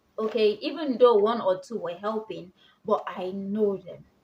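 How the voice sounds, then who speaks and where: A woman's fairly high voice at a moderate pace. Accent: Nigerian. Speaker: vlogger. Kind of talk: casual tutorial vlog.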